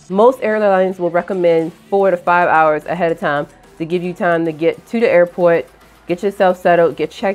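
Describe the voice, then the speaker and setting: A woman's fairly low, fairly evenly intoned voice at a fairly quick pace, with faint music in the background. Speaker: airline worker vlogger. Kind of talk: casual vlog chat. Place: home room. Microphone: lapel.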